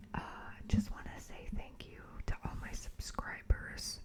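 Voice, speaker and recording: Whispering over noticeable background noise. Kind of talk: ASMR craft tutorial. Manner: whispered.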